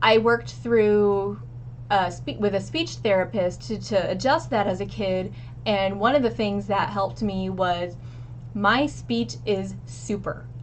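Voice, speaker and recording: Against audible room echo, a woman with an American accent talks at a fairly slow pace. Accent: regional pronunciation of egg and measure. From Missouri, US Midwest. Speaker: streamer and stream coach. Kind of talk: casual tutorial. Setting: home living room. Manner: occasional filler words and self-corrections.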